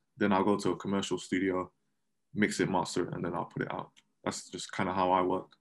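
A man with a very deep, low pitch talks at a very fast pace. His intonation is flat and monotone over a quiet background. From London, England. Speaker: rapper and musician with a day job. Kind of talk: casual interview.

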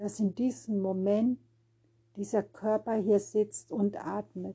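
Speaking at a very slow pace, a woman with a medium pitch has a somewhat breathy voice, a gentle, dark, mellow tone and fairly even intonation. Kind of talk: guided meditation. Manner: slow, calm, soothing, with long pauses; gentle, repetitive, rhythmic, noting words repeated in threes.

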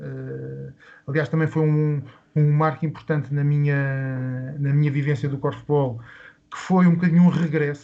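Speaking with monotone, flat intonation, a man keeps a fairly high pitch at a fairly slow pace. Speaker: sports club founder. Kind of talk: interview. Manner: halting.

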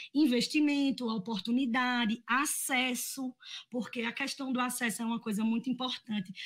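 This is a woman with a high-pitched voice. Her intonation stays fairly even. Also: moderate pace. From Agreste of Pernambuco, Brazil (Garanhuns). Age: 20s. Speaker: actress and cultural producer. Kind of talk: casual chat.

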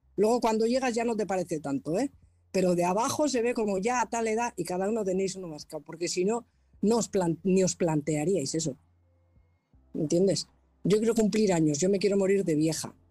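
With music in the background, a woman talks at a fairly quick pace. Her intonation is lively. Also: medium pitch for a woman. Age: 50s. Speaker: painter, audience participant. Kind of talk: casual chat.

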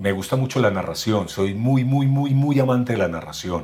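Somewhat breathy, a man speaks at medium pitch with lively intonation. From Colombia, Medellín. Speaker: voice actor and announcer. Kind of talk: casual interview.

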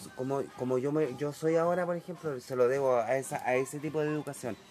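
Music plays in the background as a man with a Chilean accent speaks in a fairly high pitch. His pace is fairly quick and his intonation fairly even. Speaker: interviewee recalling the 1980s. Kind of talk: casual interview. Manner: halting, repeats words.

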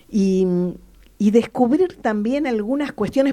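A woman with a dark, mellow tone talks at a moderate pace. Her fairly high voice makes very wide pitch swings. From Argentina, La Pampa. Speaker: radio host. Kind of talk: radio interview.

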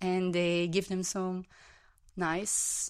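With a Dutch accent, a woman speaks at a fairly low pitch in a very clean recording with a silent background. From Belgium. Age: 30s. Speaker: club member and former club president. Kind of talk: casual interview chat. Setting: home kitchen studio.

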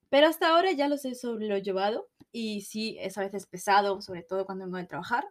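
A woman speaks at a medium pitch. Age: 20s. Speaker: podcast co-host. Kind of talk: casual chat.

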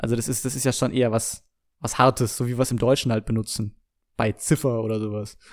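A man at a very fast pace with fairly even intonation, in a very clean recording with a silent background. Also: medium pitch for a man. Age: 20s. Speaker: podcaster. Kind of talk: casual solo monologue. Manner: hesitant, many filler sounds.

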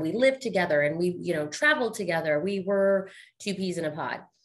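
A woman of medium pitch, with a plain, everyday voice, talks at a fairly quick pace with ordinary pitch variation. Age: 40s. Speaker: podcast host. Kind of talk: casual interview.

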